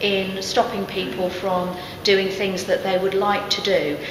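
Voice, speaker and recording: Fairly slow female speech over noticeable background noise. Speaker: council staff summarising a discussion. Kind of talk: summary report to camera. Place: hall. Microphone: handheld.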